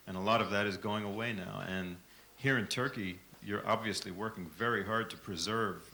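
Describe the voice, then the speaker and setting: A man speaks with an American accent and a bright, sharp tone. His intonation is fairly even, and audible room echo surrounds the voice. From United States. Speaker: microtonal music software developer. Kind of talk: conference remarks. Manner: halting.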